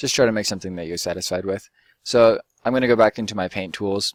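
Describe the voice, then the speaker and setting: In a dry, close sound with no echo, a man with an ordinary speaking voice talks at a fairly low pitch with fairly even intonation. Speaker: game development tutorial youtuber. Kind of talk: tutorial. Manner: casual with fillers.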